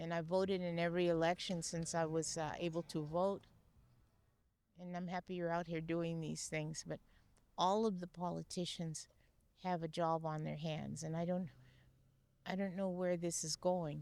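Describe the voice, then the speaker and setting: A woman talks at a moderate pace in a fairly low pitch. Her intonation is monotone and flat, with long, frequent pauses. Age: 80s+. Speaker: military veteran interviewed on the street. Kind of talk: street interview. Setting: outdoors.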